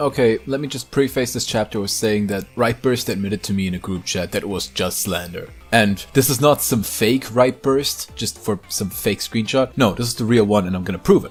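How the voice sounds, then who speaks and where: A man talks with hardly any pauses and ordinary pitch variation as music plays in the background. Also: medium pitch for a man, fairly quick pace. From Germany. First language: German. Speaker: YouTuber, drama commentator. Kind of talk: commentary video narration. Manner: casual.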